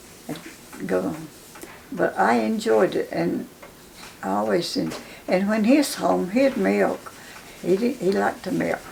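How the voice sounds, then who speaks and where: The speaker, with a southern Appalachian accent, goes at a fairly slow pace with long, frequent pauses. Noticeable background noise can be heard. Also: woman. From western North Carolina, Cherokee County. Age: 90s. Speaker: elder interviewee. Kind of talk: oral history interview. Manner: halting.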